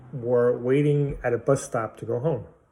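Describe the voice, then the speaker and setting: The speaker is a man with a Brooklyn accent. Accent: Brooklyn New York. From Brooklyn, New York (Bensonhurst). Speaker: political commentator vlogger. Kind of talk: angry monologue. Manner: animated.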